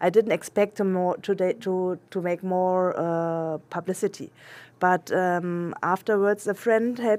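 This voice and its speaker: The voice has a German accent and a dark, mellow tone. Its pitch varies in an ordinary way. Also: woman. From Germany. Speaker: international adoptee searching for birth family. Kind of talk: interview. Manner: halting, many fillers and restarts.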